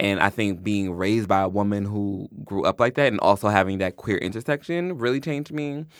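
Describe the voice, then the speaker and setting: With a normal speaking voice, the speaker goes at a moderate pace with ordinary pitch variation on a very clean recording with a silent background. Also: man. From Long Island, New York and Georgia. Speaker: writer and critic. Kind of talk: casual interview.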